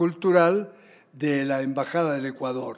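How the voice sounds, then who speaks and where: Intonation is fairly even. The speed is moderate. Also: man. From Argentina, Buenos Aires. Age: 90s. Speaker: choreographer and writer. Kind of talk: interview.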